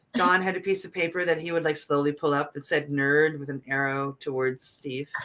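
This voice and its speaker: In an East Coast accent, a woman speaks at a fairly quick pace with a very deep, low pitch, a bright, sharp tone and ordinary pitch variation. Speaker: talk show co-host. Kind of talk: casual chat.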